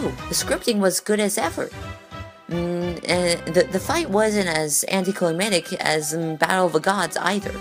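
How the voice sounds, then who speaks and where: A woman's fairly low voice with lively intonation at a moderate pace, with music in the background. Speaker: anime commentary vlogger. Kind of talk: casual talk to camera. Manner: stammering.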